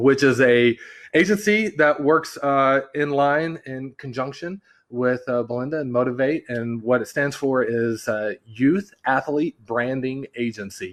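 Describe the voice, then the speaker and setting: Against a quiet background, a man with a Californian accent talks fairly slowly, his pitch varying in an ordinary way. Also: medium pitch for a man. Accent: sounds Californian. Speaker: branding agency partner. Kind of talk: podcast interview.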